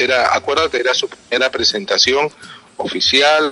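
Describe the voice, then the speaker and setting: Background music plays throughout. The speaking pace is moderate. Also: man. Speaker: radio announcer. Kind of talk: interview answer.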